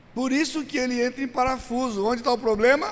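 A man talks at an extremely high pitch with ordinary pitch variation. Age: 60s. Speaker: pastor. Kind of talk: teaching seminar. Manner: conversational, animated.

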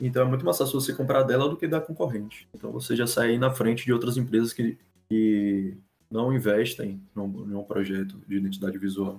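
A man talks at a moderate pace with a medium pitch. His pitch variation is ordinary. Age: 20s. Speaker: graphic designer. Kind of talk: casual chat. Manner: halting.

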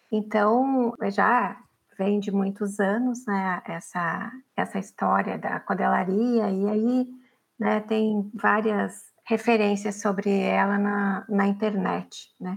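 A woman's medium-pitched voice, flat and monotone, at a very slow pace. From Paraná, Brazil (Araucária, near Curitiba). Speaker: feminist activist. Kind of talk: interview. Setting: studio.

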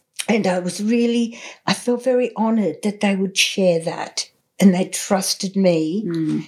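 In an Australian accent, a woman speaks with a somewhat breathy voice and fairly even intonation. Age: 70s. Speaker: artist and healer. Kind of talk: interview conversation.

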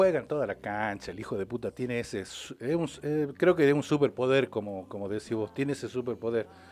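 An ordinary speaking voice belongs to a man of medium pitch. He talks at a fairly quick pace with lively intonation. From Salta, northwestern Argentina. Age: 50s. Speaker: documentary filmmaker, former television worker. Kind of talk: casual radio interview.

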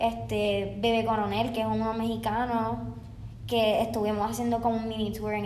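A woman with a Puerto Rican accent speaks at a moderate pace amid noticeable background noise and audible room echo. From Puerto Rico (Bayamón). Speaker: dancer and dance teacher. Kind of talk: casual interview.

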